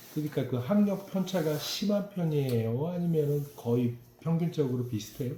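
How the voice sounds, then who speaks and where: Noticeable background noise sits under a man's voice. He talks at a moderate pace in a fairly high pitch with lively intonation. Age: 50s. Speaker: local news reporter. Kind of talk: interview.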